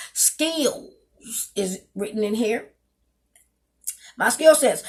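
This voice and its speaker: Here is a woman speaking. Her intonation is lively. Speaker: gospel singer and pageant coach. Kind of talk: tutorial. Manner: halting, many fillers.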